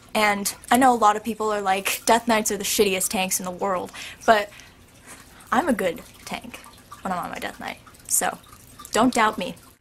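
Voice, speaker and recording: Moderately paced speech with long, frequent pauses, big swings in loudness, and noticeable background noise. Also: woman, medium pitch for a woman. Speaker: video blogger. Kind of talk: casual Q&A vlog. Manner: animated.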